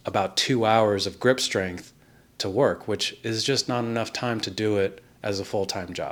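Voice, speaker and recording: In a very clean recording with a silent background, a man speaks with a Californian accent. His fairly low voice keeps fairly even intonation at a moderate pace. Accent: Californian American. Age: 30s. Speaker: glass artist. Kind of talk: personal vlog monologue.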